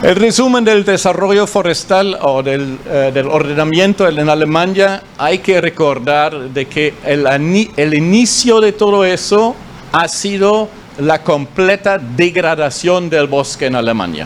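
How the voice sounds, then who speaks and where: With a German accent, a man talks at a fairly slow pace and a high pitch, his intonation lively over noticeable background noise. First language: German (speaking Spanish). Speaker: forestry official. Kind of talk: conference talk. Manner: halting, many fillers.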